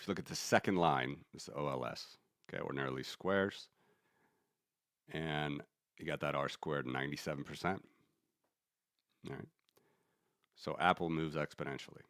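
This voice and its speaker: A man with a very deep, low voice and vocal fry talks at a fairly quick pace, his intonation fairly even. His loudness swings a lot, and he takes long, frequent pauses. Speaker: finance streamer, market analyst. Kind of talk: live stream chart analysis. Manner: fast; casual, conversational.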